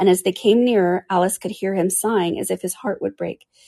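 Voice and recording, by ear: The clip is of reading aloud in a natural voice.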